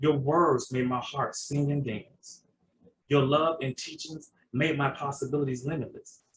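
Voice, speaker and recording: At a moderate pace, a man speaks somewhat breathily at a fairly high pitch. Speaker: poet and podcast host. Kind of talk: poetry reading. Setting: video call.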